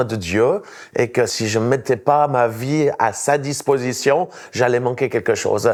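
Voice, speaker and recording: A man with a Swiss accent, medium pitch and ordinary pitch variation, on a very clean recording with a silent background. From Switzerland. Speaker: evangelist and pastor. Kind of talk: testimony.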